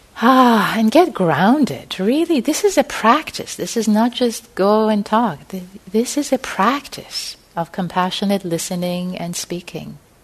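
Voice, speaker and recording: Over noticeable background noise, a woman with a soothing, warm tone speaks at a fairly slow pace and a fairly high pitch, with very wide pitch swings. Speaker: meditation teacher. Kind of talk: gentle guided meditation leading a group into compassionate listening. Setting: meditation hall with live group. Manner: slow, soothing, spacious phrasing with breath-paced pauses; warm, informal and chatty between practices, with fillers.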